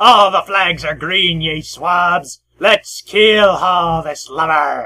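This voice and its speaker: Using a put-on character voice, a man speaks at a high pitch and a very slow pace. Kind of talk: pirate slang. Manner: jokey, commanding.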